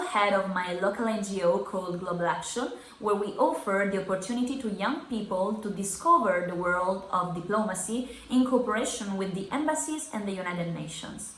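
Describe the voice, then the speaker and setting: Speaking fairly quickly with lively intonation, a woman with an Italian accent is heard over noticeable background noise and audible room echo. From Italy, Sardinia. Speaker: youth summit delegate. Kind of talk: self-introduction.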